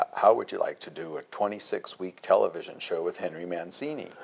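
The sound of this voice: A man uses a put-on character voice that is gravelly. He talks at a fairly quick pace.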